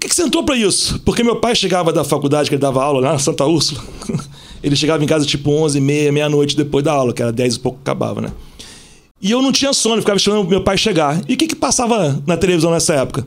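Over noticeable background noise, a man with a fairly high pitch speaks at a very fast pace with lively intonation. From Rio de Janeiro (Zona Sul). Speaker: police officer and celebrity bodyguard. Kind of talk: casual chat.

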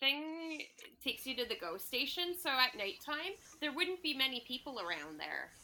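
Raised, projected woman's voice, high in pitch, bright and sharp in tone, with very wide pitch swings at a moderate pace. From Toronto, Canada. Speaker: podcast co-host guest. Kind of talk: casual chat. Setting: video call.

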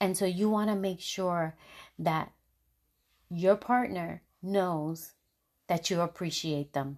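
Against a quiet background, a woman talks at a very slow pace with long, frequent pauses. Her pitch is fairly low, with ordinary pitch variation. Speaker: podcast host. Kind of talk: casual monologue. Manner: conversational.

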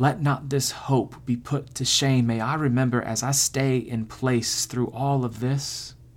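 A man speaks very slowly in a flat monotone at a medium pitch, his voice somewhat breathy. The recording is very clean, with a silent background. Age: 30s. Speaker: podcast host and poet. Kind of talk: poetry reading, prayer-like, within a casual podcast. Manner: casual, joking, self-deprecating.

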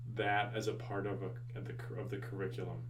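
A medium-pitched male voice at a moderate pace over noticeable background noise. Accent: American. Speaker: podcast host and high school teacher. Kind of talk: casual interview conversation.

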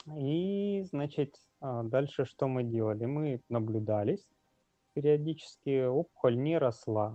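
A man at a very slow pace, medium pitch and ordinary pitch variation. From Russian Far East (Magadan). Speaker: brain cancer patient and blogger. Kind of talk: interview testimony. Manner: halting, many fillers.

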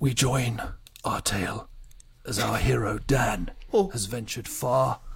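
A raspy, put-on character voice from a man, broken by long, frequent pauses. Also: medium pitch for a man, fairly slow pace. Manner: grandiose storytelling.

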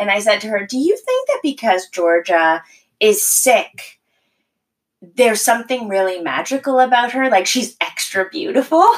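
With a Canadian accent, a woman speaks at a moderate pace in a high pitch with very wide pitch swings. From Maritimes, Canada. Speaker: mother. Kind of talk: casual chat.

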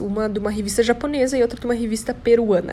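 A woman speaks in an animated tone at a fairly quick pace, with noticeable background noise behind her. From Brazil, Santa Catarina (São Bento do Sul). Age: 20s. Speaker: model and podcaster. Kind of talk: casual monologue.

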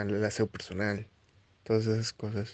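Here a man talks with a fairly low pitch. His intonation is monotone and flat. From Mexico, Xalapa, Veracruz. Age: 20s. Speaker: chemist. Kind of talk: interview. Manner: halting.

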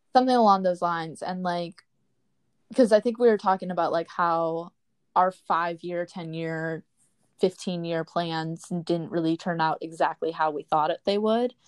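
A woman speaks with an American accent in an ordinary speaking voice. Her pitch is fairly low, with ordinary variation, at a moderate pace. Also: quiet background. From Wisconsin, rural. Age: 20s. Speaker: podcast co-host, college student, YouTuber. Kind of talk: casual chat.

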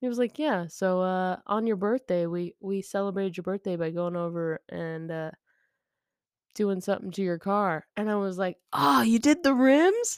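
A woman with a normal speaking voice talks in an American accent at medium pitch, with lively intonation and a moderate pace. The recording is very clean and dry, close with no echo, and the background is silent. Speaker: podcast co-host. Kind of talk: casual banter. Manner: joking, playful.

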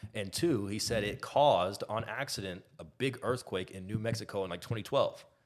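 A man with an American accent, fairly low in pitch, with ordinary pitch variation and hardly any pauses. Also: moderate pace. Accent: none left of his English one. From Texas. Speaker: podcaster, former college basketball player. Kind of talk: casual chat.

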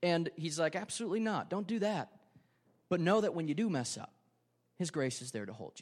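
With an Upper Midwest accent, a high-pitched man talks at a fairly quick pace with lively intonation, big swings in loudness, and long, frequent pauses. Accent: Upper Midwest American. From Wisconsin, Ripon. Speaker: pastor. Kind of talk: sermon. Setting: church.

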